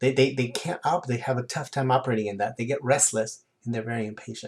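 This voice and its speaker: A man speaks in an animated tone that is somewhat breathy. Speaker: personal development coach. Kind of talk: lecture. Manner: fast.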